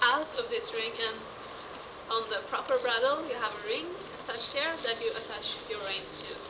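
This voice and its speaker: A woman speaks at a moderate pace in a high voice with a Norwegian accent and ordinary pitch variation. Noticeable background noise runs underneath. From Norway. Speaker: horse rider. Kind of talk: casual talk to camera, tack review. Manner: rising intonation, sounds like asking questions.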